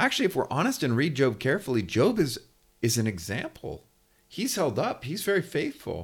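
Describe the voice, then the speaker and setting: With an American accent and vocal fry, a man's pitch swings very widely in a very clean recording with a silent background. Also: fairly quick pace. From California. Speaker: theologian. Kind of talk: interview.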